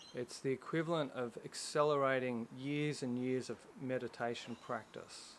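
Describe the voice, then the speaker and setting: Moving at a moderate pace with fairly even intonation, this is a plain, everyday voice. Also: man, medium pitch for a man. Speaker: meditation guide. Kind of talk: guided meditation. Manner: calm, instructional.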